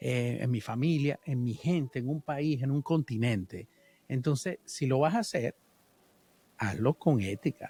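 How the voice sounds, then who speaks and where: A man's somewhat breathy, medium-pitched voice at a fairly slow pace with ordinary pitch variation, dry and close with no echo, on a very clean recording with a silent background. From Venezuela. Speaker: musician. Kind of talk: interview.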